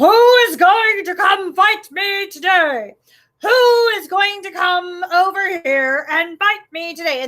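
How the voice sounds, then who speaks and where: A woman speaks at a fairly slow pace in a put-on character voice. Her pitch is extremely high. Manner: taunting, hollering.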